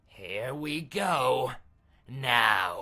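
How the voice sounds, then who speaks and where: A put-on character voice, raspy and at a low-to-middle pitch. The tone is playful and menacing. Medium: solo performance. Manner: playful, menacing, eager.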